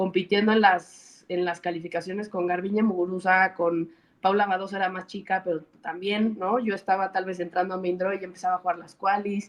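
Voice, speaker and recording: Speaking at a fairly quick pace with a Mexican accent, a woman keeps a medium pitch and monotone, flat intonation. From Mexico. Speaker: former professional tennis player, tennis coach. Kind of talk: interview.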